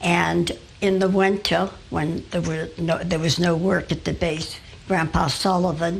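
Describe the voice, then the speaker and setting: A woman's fairly low-pitched voice at a fairly slow pace, monotone and flat in intonation, over noticeable background noise. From Newport, Rhode Island, US (Fifth Ward). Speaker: local elder recounting family history. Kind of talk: oral history interview. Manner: halting, with many fillers.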